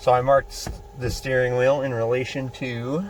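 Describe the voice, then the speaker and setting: Speech comes at a fairly slow pace over noticeable background noise. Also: man. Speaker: DIY mechanic vlogger. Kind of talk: tutorial. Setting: outdoors in the cold. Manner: casual.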